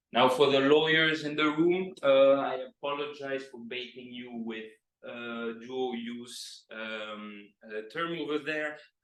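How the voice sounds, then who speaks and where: The pace is very slow, with hardly any pauses and big swings in loudness. Pitch varies in an ordinary way, and room echo is audible. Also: man, medium pitch for a man. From Greece. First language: Greek. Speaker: PhD researcher. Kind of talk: lecture. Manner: hesitant with many fillers.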